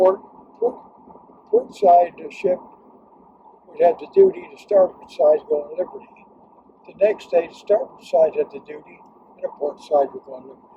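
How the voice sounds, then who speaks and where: A man speaks at a moderate pace with long, frequent pauses and big swings in loudness. Noticeable background noise is present. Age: 100s (80s+). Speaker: war veteran. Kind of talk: casual chat. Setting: in a car. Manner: halting. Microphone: poor audio quality.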